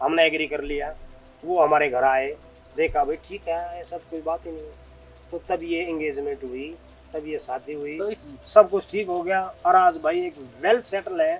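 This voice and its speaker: A man at a moderate pace, fairly even intonation and big swings in loudness, with music in the background. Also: fairly high pitch for a man. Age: 60s. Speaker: retired army officer, yoga guru. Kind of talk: interview answer.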